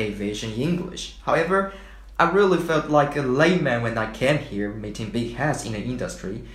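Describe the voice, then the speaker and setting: Speaking with a Chinese accent, a man uses lively intonation at a moderate pace. Audible room echo surrounds the voice. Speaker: podcast co-host. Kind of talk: scripted podcast chat.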